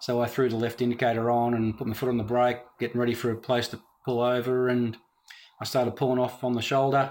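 Someone talks very fast with an Australian accent in a flat, monotone delivery. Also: man, medium pitch for a man. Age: 50s. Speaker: drag racer. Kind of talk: casual chat.

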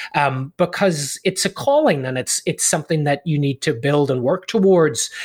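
The voice, somewhat breathy and with an Irish accent, moves at a fairly quick pace. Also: man. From Ireland. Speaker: leadership coach and author. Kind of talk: interview.

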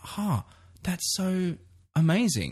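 Against a quiet background, a man with an Australian accent speaks in a somewhat breathy voice. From Australia, Brisbane. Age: 30s. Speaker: podcast host and photographer. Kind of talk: casual chat.

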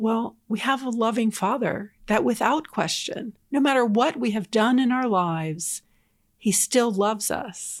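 With an American accent, a woman speaks in an unremarkable speaking voice, fairly high in pitch, at a fairly slow pace with ordinary pitch variation, on a very clean recording with a silent background. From southern New Jersey. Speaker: diocese evangelization coordinator. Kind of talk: casual interview chat. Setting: in-person studio recording.

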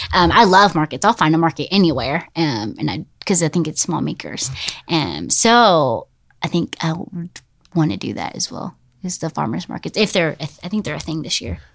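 Her pitch very deep and low, a woman speaks with vocal fry and very wide pitch swings. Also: moderate pace. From Middle Tennessee. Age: 20s. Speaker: small business owner. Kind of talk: casual interview.

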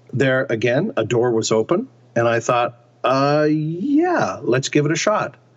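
There is noticeable background noise as a man speaks at a fairly slow pace in a fairly high pitch, with very even loudness and ordinary pitch variation. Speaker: actor. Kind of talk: interview.

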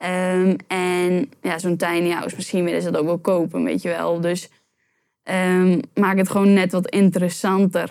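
A woman speaks at a medium pitch and a fairly slow pace in a monotone, flat intonation, on a very clean recording with a silent background. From Netherlands, Urk. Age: 20s. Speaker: YouTube entrepreneur. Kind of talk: interview.

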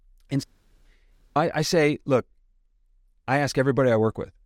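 A man with an American accent talks at a very fast pace. The recording is very clean with a silent background. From US Midwest, suburb of Detroit. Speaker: sales consultant and speaker. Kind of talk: interview conversation.

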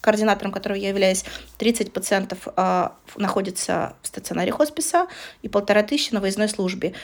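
A woman with a medium pitch talks at a fairly quick pace with long, frequent pauses, against noticeable background noise. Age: 30s. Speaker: podcast co-host, hospice coordinator. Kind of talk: casual chat.

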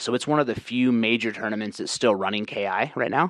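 This man has a normal speaking voice at a medium pitch. His pitch varies in an ordinary way. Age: 30s. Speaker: game development course creator and fighting game player. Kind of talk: casual chat.

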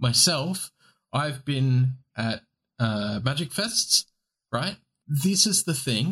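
In an Australian accent, a man talks at a very slow pace with lively intonation and long, frequent pauses, the sound dry and close with no echo. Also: fairly high pitch for a man. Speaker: podcast co-host. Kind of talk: casual chat. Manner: casual, swears often.

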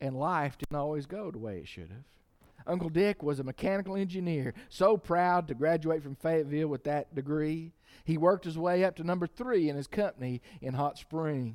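It is a plain, everyday voice with big swings in loudness. The recording is very clean, with a silent background. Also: man, fairly high pitch for a man, ordinary pitch variation, moderate pace. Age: 50s. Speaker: pastor. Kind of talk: sermon.

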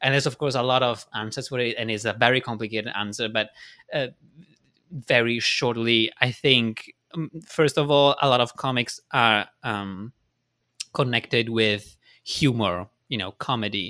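A man with an Italian accent speaks at a medium pitch and a moderate pace, his intonation fairly even, on a very clean recording with a silent background. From Italy. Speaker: cartoonist and illustrator. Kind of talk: casual interview. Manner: hesitant, searching for words.

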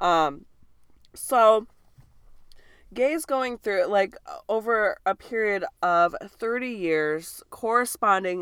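Over a very clean recording with a silent background, a woman with an American accent talks at a very slow pace with ordinary pitch variation. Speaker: podcast co-host. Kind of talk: casual banter.

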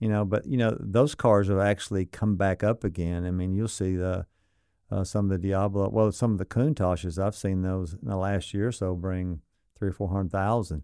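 A man with a Southern US accent speaks at a moderate pace in a very deep, dark, mellow voice with ordinary pitch variation. The recording is very clean and dry, close with no echo and a silent background. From Arkansas (Sardis area). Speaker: exotic car dealer. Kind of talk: casual interview chat.

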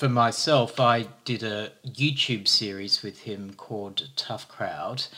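A man talks at a very slow pace with hardly any pauses and ordinary pitch variation. Noticeable background noise runs behind him. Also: medium pitch for a man. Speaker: podcast co-host. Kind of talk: podcast conversation.

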